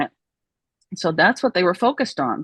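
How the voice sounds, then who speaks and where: A woman speaks with a Southern US accent at a medium pitch. Her intonation is lively. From Oklahoma, US. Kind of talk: interview testimony.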